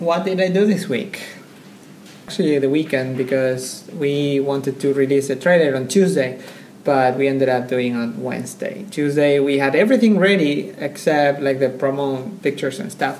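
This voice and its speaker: Moderate-paced male speech over light background noise. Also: ordinary pitch variation. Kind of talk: casual weekly update vlog. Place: office. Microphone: camera far.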